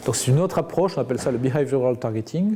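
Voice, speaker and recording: In a Roussillon accent, the speaker talks at a very fast pace with a dark, mellow tone, somewhat breathy, with ordinary pitch variation. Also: man. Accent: southern French (Perpignan). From southern France, Perpignan. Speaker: media executive. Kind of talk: interview.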